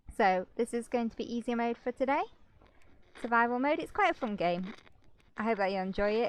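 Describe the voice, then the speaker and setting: A woman with a British accent, a fairly high pitch and a fairly quick pace, in a dry, close recording with no echo. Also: ordinary pitch variation. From Britain. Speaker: gaming YouTuber and streamer. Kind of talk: casual let's play commentary. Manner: hesitant, with many fillers.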